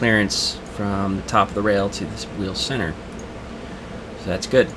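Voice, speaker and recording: Monotone, flat intonation from a man with a fairly low pitch, over noticeable background noise. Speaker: robotics team designer. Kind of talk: casual CAD work narration. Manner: hesitant, many filler sounds.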